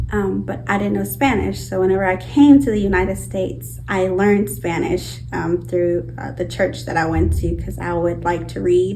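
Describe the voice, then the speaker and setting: Amid noticeable background noise and audible room echo, a woman speaks at a moderate pace with hardly any pauses. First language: Purepecha. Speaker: outreach worker. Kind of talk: documentary interview.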